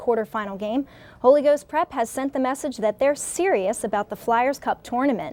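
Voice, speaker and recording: Speaking at a fairly quick pace with an American accent, a woman uses a high pitch and ordinary pitch variation in a dry, close sound with no echo. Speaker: newscast reporter. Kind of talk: local newscast update read to camera.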